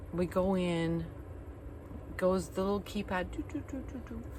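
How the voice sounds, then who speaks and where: The voice belongs to a woman and sounds animated. Room echo can be heard around it. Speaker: van-dwelling travel vlogger. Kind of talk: casual storytelling vlog. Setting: campground.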